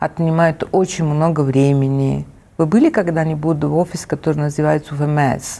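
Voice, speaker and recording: A woman with an Italian accent speaks in a very deep, low voice. Her intonation stays flat and monotone at a moderate pace. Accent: Italian accent in Russian. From Italy. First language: Italian (speaking Russian). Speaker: arts foundation director. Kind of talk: interview. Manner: halting.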